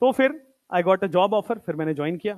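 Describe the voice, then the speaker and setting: Lively intonation carries this man's high-pitched speech. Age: 20s. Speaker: teacher. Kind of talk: motivational talk to students in a lecture. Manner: casual, Hindi-English code-mixing.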